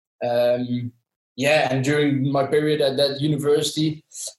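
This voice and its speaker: In a Dutch accent, a man speaks at a moderate pace with a fairly high pitch and flat, monotone intonation. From southern Netherlands. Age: 20s. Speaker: sportswear company employee. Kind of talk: interview. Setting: video call. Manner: halting with many fillers.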